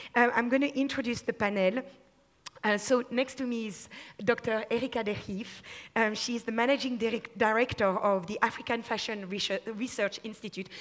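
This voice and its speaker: A woman with a French accent and fairly high pitch talks at a fairly quick pace with fairly even intonation over noticeable background noise. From France. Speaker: panel moderator. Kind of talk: panel discussion.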